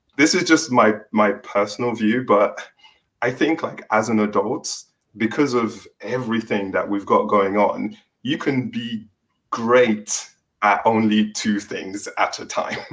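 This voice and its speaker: In an English accent, a man of medium pitch reads at a fairly slow pace with ordinary pitch variation. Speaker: author and tech worker on a panel. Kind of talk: panel discussion.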